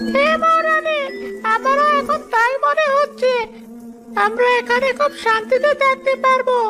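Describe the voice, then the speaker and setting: A cartoonish character voice at an extremely high pitch speaks at a fairly slow pace over clear music in the background. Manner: deferential.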